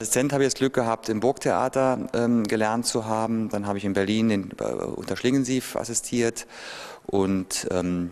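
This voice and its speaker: Male speech at a moderate pace, its pitch varying in an ordinary way. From western Germany, Trier region (Konz); western Germany. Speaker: theatre director. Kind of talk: interview. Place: hall. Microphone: handheld.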